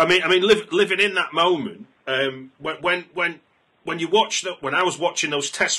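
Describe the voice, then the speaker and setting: Here is a man with a British accent. His tone is bright and sharp. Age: 40s. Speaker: film podcast host. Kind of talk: interview. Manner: halting.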